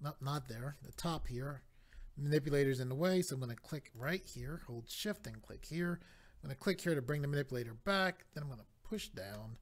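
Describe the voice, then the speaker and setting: A man's somewhat breathy voice sits at a fairly high pitch with lively intonation. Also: fairly quick pace. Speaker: 3D modeling tutorial maker. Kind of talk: software tutorial. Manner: step-by-step instructional.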